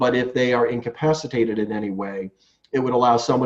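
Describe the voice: A man talks at a moderate pace, his pitch fairly low and his tone slightly mellow.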